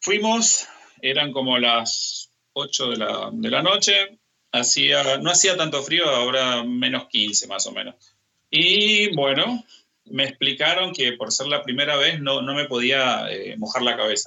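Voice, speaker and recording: Speaking at a very slow pace, a man uses a fairly high voice with very wide pitch swings. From Argentina, Misiones province. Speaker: tango dancer and dance teacher. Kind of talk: interview.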